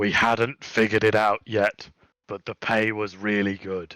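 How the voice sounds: A man puts on a strained character voice, fairly low in pitch and delivered in a flat monotone. His pace is moderate, and the recording is very clean with a silent background.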